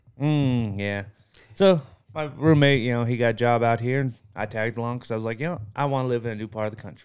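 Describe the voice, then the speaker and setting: This man speaks very fast in an American accent, his pitch medium and its variation ordinary. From Massachusetts. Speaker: podcast co-host. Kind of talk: casual chat.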